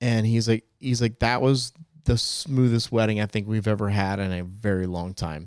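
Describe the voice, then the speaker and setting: This man has a normal speaking voice with an American accent. He keeps a moderate pace and fairly even intonation. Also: fairly low pitch for a man. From New Jersey. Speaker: wedding DJ and podcast host. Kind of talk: casual chat.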